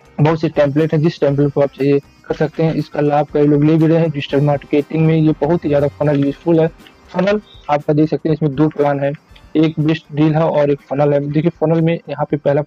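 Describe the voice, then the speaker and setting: Against faint background music, a man speaks in a flat monotone at very even loudness, the sound dry with no echo. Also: moderate pace. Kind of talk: tutorial sales commentary. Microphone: webcam.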